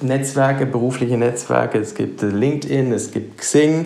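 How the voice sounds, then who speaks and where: A man talks at a fairly slow pace with ordinary pitch variation. Noticeable background noise and audible room echo fill the recording. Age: 40s. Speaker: private banker. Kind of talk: interview.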